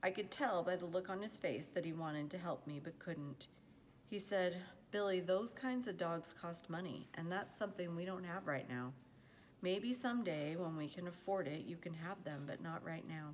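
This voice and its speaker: This woman talks at a moderate pace with ordinary pitch variation. There is light background noise behind her. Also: fairly low pitch for a woman. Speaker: reader of a children's novel. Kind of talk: read-aloud storytelling. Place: home room. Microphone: phone near.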